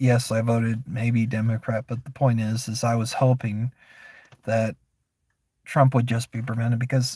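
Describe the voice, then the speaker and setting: A man with an American accent speaks at a medium pitch in a flat monotone, his tone dark and mellow and somewhat breathy, the sound dry and close with no echo on a very clean recording with a silent background. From Florida. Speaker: streamer. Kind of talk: casual opinion monologue. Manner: halting.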